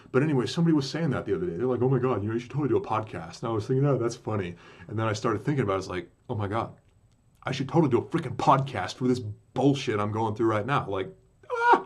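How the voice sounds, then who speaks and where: The delivery runs at a very fast pace with lively intonation. The voice is somewhat breathy. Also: man, medium pitch for a man. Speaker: podcaster recounting a business scam. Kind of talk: casual monologue. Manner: halting, many fillers and restarts.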